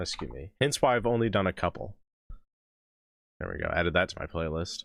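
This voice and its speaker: A man speaks fast-ish, at a fairly quick pace, with a very deep, low pitch, vocal fry and lively intonation. The recording is very clean, with a silent background. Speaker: music reaction streamer. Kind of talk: live stream chat.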